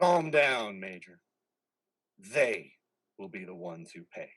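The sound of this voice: A man's put-on character voice at a slow pace, fairly low in pitch with big pitch swings. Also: fairly bright tone.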